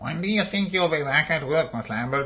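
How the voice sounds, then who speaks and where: This is a put-on character voice from a man, nasal and fairly high in pitch. He talks at a moderate pace. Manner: mocking.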